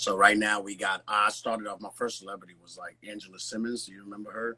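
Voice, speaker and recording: Talking at a very fast pace with big swings in loudness, a man with an American accent uses a fairly low pitch. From Nigeria, then New York City from age 12. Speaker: celebrity fitness trainer, former pro boxer. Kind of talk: casual chat. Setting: live video stream. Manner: animated.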